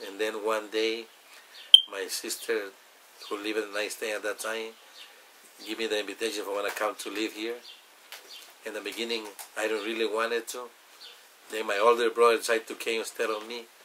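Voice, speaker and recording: A man with a Salvadoran accent talks very fast at a medium pitch, flat and monotone, with long, frequent pauses. Noticeable background noise runs underneath. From El Salvador. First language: Spanish. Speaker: immigrant telling his story. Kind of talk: personal testimony interview. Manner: halting, many fillers.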